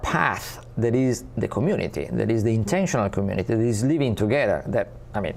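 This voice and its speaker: With an Italian accent, a man speaks at a moderate pace. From Italy. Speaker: spiritual community ambassador and teacher. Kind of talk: interview. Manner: halting.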